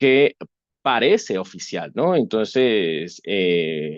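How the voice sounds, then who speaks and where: The recording of this man's medium-pitched voice is dry and close, with no echo. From Venezuela. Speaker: webinar presenter on AI governance. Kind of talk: webinar lecture. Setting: online webinar. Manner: hesitant, many fillers and restarts.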